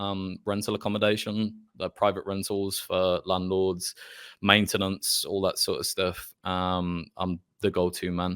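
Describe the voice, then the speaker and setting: A man speaks with a Birmingham accent in a very deep, low voice, monotone and flat. The pace is fairly slow and the recording very clean with a silent background. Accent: Birmingham (Brummie). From Birmingham, England. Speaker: Twitch roleplay streamer. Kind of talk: casual chat. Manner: hesitant, filler-heavy.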